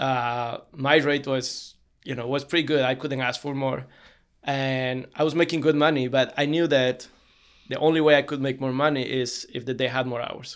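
A man with a Spanish accent speaks at a moderate pace in a medium pitch, flat and monotone, in a very clean recording with a silent background. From Bolivia (Cochabamba). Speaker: limo company CEO. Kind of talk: casual interview.

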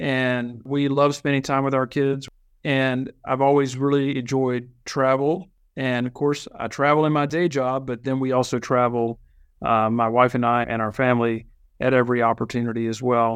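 Over a quiet background, a man with an American accent speaks at a moderate pace and medium pitch in a flat monotone. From Virginia. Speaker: association executive. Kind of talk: interview.

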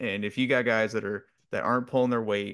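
A man with an ordinary speaking voice talks at a fairly quick pace with fairly even intonation. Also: quiet background. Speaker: podcast co-host. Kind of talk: casual sports podcast chat.

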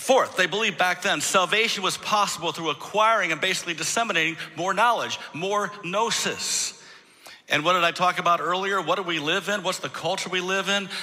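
Over noticeable background noise, a man with an American accent talks fairly quickly in a raised, projected voice, his high pitch held to fairly even intonation. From Michigan. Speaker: pastor. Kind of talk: sermon. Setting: church.

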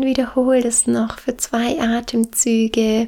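A woman's high voice with a gentle, warm tone, monotone and flat, at a very slow pace over noticeable background noise. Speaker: meditation guide. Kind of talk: guided meditation. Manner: slow, soothing, calm; gentle, warm, with long pauses.

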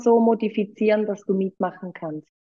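A woman's voice at medium pitch with ordinary pitch variation. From Switzerland. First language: Swiss German (speaking German). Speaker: yoga teacher. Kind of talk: casual chat.

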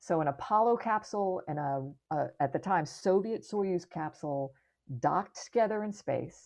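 This woman has an unremarkable speaking voice and an American accent. Her pitch is medium and her pace moderate. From US, Florida. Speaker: astronaut. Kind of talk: casual interview.

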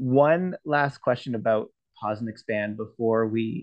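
This man has a normal speaking voice, medium in pitch with ordinary pitch variation. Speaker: podcast host. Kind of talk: interview conversation.

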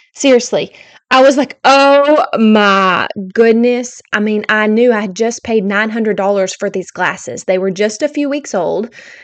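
A woman's fairly high-pitched voice at a fairly slow pace with ordinary pitch variation against a quiet background. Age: 40s. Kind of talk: casual devotional monologue. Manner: animated.

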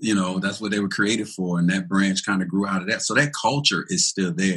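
With a plain, everyday voice, a man speaks at a fairly low pitch with lively intonation. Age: 40s. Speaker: pastor. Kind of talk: panel discussion.

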